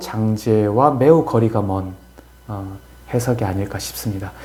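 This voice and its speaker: A man's voice with audible room echo. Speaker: philosophy scholar explaining a classical text. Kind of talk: lecture-style discussion. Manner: slow; hesitant, many fillers.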